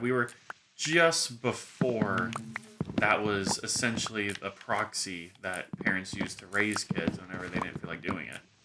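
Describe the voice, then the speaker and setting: A man's lively intonation at a fairly slow pace, with noticeable background noise. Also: fairly low pitch for a man. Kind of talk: casual talk to camera. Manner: rambling.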